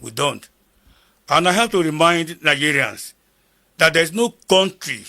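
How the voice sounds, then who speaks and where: Raised and projected, a man's voice has a bright, sharp tone and lively intonation. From northern Nigeria (Kogi State, Igala). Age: 70s. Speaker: war veteran. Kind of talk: interview. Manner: repetitive, halting.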